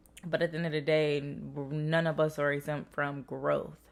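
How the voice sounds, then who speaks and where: In a very clean recording with a silent background, a woman speaks in an animated tone at a very deep, low pitch. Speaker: tarot reader. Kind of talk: channeled message monologue. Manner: fast; casual, animated.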